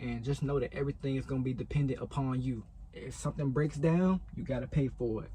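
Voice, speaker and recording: Talking at a fairly quick pace, a man has a fairly high pitch. His tone is dark and mellow, and somewhat breathy. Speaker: truck driver and vlogger. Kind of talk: casual vlog talk to camera. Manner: fast.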